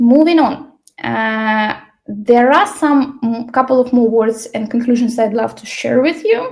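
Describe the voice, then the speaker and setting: A woman speaks with a non-native accent. Her pitch is high, with ordinary variation. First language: Ukrainian. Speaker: L&D trainer. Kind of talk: online workshop presentation. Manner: many fillers and hesitations.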